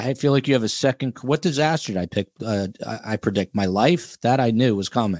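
A man talks at a fairly quick pace with lively intonation, his medium-pitched voice a plain, everyday voice. The sound is dry and close with no echo, on a very clean recording with a silent background. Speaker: podcast host. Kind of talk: casual chat.

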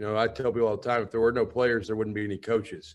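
Medium pitch from a man with a Southern US accent, over a quiet background. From Alabama. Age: 30s. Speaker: college football head coach. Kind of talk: radio interview.

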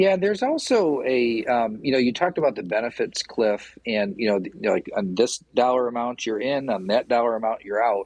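A man with a Midwestern US accent talks at a fairly quick pace with lively intonation and hardly any pauses. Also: medium pitch for a man. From Michigan. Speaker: small business association CEO. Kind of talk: radio interview.

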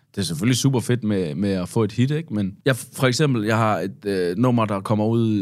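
A man with ordinary pitch variation and hardly any pauses, in a very clean recording against a silent background. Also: fairly low pitch for a man, moderate pace. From Denmark. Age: 30s. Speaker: hip-hop artist. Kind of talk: casual chat. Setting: studio. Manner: halting.

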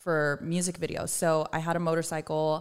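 On a very clean recording with a silent background, a woman with an American accent speaks at a fairly slow pace in a very deep, low voice. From Southern California. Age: 30s. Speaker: cookbook author and content creator. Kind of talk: casual chat.

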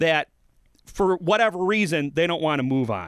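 A man with an American accent speaks at high pitch in a bright, sharp tone with ordinary pitch variation, in a very clean recording against a silent background. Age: 30s. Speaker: podcast co-host. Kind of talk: casual chat; political commentary. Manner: halting.

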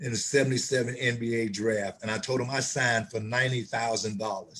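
Somewhat breathy and unhurried, the speaker talks at a fairly slow pace with an American accent. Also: man. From Chicago, US Midwest. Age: 60s.

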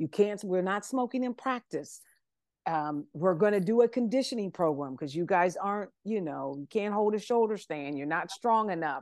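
A woman talks at a moderate pace with an American accent, her pitch medium and her intonation lively. The background is quiet. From US Midwest, Columbus, Ohio. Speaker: personal trainer. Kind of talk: podcast interview. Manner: halting.

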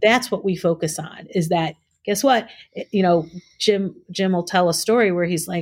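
This woman's voice is somewhat breathy. She keeps to a moderate pace. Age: 50s. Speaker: executive director of an adaptive scuba nonprofit. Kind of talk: casual chat.

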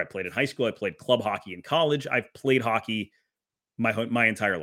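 A man with an American accent has an ordinary speaking voice. He talks at a fairly quick pace with ordinary pitch variation. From Wisconsin. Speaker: hockey play-by-play broadcaster. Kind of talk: casual chat.

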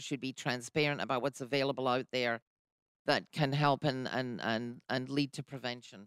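In a British accent, a woman with a very deep, low pitch speaks at a moderate pace and fairly even intonation, the sound dry and close with no echo on a very clean recording with a silent background. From UK. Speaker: radio host. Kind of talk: radio interview. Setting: studio.

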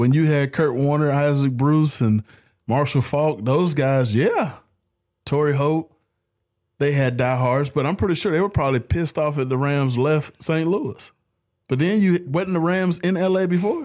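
Speaking at a moderate pace in an unremarkable speaking voice, a man keeps a fairly high pitch, ordinary pitch variation and very even loudness on a very clean recording with a silent background. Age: 30s. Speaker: sports podcast host. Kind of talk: casual chat.

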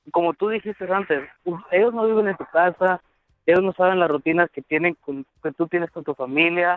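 A man speaks in a high pitch at a moderate pace. His pitch varies in an ordinary way. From Guatemala. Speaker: caller. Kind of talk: call-in conversation.

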